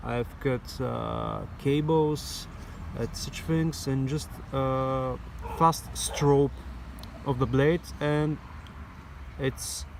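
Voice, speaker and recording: A man speaks over noticeable background noise. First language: not English. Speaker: knife maker and EDC video creator. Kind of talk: product show-and-tell. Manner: halting, many fillers.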